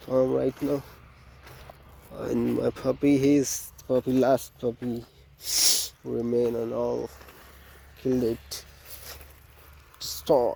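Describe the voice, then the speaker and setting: A man speaks very slowly, with long, frequent pauses, while noticeable background noise runs underneath. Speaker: farmer vlogger. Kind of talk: casual vlog narration. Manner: halting.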